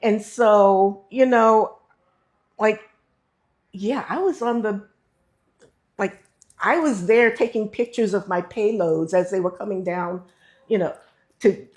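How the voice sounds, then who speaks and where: A woman speaks slowly-ish in a Mid-Atlantic accent, her fairly high voice showing ordinary pitch variation. She leaves long, frequent pauses. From US, Baltimore, Maryland. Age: 60s. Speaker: retired engineer and expat. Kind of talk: interview.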